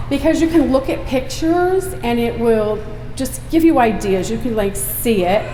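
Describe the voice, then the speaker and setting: A woman with a fairly high pitch speaks at a moderate pace with lively intonation, with audible room echo and noticeable background noise. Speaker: homesteading vlogger giving a talk. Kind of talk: public talk. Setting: stage at an expo with audience. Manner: loud; casual, chatty.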